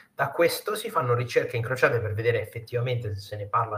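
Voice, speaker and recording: A man talks at a very fast pace. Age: 30s. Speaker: news content creator. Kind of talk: casual interview chat. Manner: animated.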